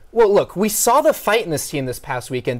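The background is quiet while a man talks. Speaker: sports reporter and anchor. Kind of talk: live TV sports reporting and studio sports talk.

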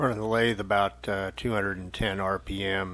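A man speaks with a bright, sharp tone, vocal fry and ordinary pitch variation. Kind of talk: tutorial. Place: workshop. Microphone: camera far.

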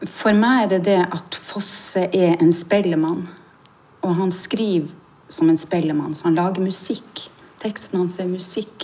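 The woman speaks at a fairly slow pace. Her intonation stays fairly even. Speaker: stage actor. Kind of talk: interview answer. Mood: reflective, warm. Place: hall.

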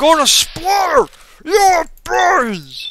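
An extremely high-pitched, put-on character voice. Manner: mocking, cartoonishly aggressive.

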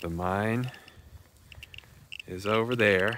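Light background noise surrounds a man whose recording sounds dry, with no echo. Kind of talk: casual vlog narration. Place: open country. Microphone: phone near.

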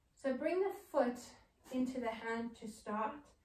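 A woman's high pitch at a fairly slow pace, with audible room echo. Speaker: movement therapist. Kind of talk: guided exercise tutorial. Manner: calm, instructive. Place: studio. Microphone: camera far.

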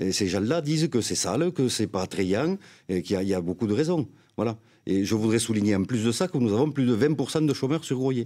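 Fairly quick and lively in intonation, a man's medium-pitched voice has a dark, mellow tone and very even loudness. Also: quiet background. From Graulhet, Tarn, southern France; Tarn, France. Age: 50s. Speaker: independent mayoral candidate, business manager; candidate. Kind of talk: political debate. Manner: halting. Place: studio. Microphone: studio mic.

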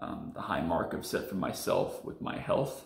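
A man speaks at a moderate pace. Audible room echo fills the recording. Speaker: sim racer vlogger. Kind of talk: personal confessional vlog. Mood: serious, reflective. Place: home room. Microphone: phone near.

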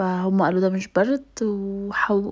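A woman with an Egyptian accent talks against a quiet background. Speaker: lifestyle vlogger. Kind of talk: casual vlog talk. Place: kitchen. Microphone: phone near.

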